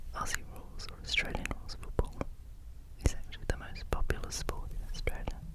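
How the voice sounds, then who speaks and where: Someone whispers at a fairly quick pace in a gentle tone, with noticeable background noise behind them. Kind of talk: ASMR whispered show and tell, page turning. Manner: whispered, soft-spoken, gentle.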